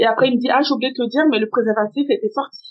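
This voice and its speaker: Here a woman is speaking. Her pace is very fast. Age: 30s. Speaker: assistant and lingerie brand founder, single mother. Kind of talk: testimony. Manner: halting.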